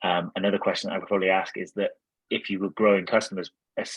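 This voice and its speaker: Over a quiet background, a man with a very deep, low pitch talks at a very fast pace in a dry, close sound with no echo. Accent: Welsh. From Wales. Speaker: angel investor and executive coach. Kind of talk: webinar interview answer.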